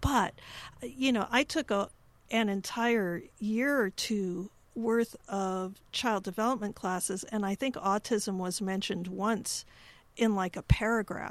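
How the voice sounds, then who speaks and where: A woman with an American accent, an unremarkable speaking voice, medium pitch and ordinary pitch variation, at a fairly slow pace on a very clean recording with a silent background. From US Midwest, Chicago. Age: 50s. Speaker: podcast host. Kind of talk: interview.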